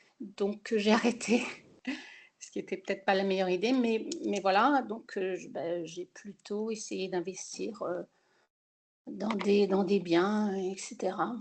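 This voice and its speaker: At a very slow pace, a woman with a medium pitch and fairly even intonation leaves long, frequent pauses while her loudness swings widely. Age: 60s. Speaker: self-employed architect, webinar participant. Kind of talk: personal testimony in a webinar. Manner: hesitant, many fillers.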